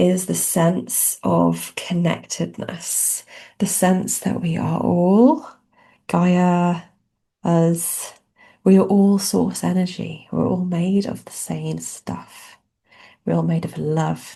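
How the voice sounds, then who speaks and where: A woman with a British accent speaks at a very slow pace. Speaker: spiritual channeler. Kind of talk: spiritual channeling talk. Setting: podcast recording.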